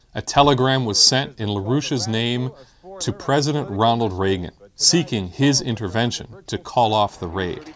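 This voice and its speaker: A man speaks at a moderate pace with ordinary pitch variation. His pitch sits in the medium range, and he has a plain, everyday voice. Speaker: video narrator. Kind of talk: scripted political documentary narration. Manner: formal, measured, earnest.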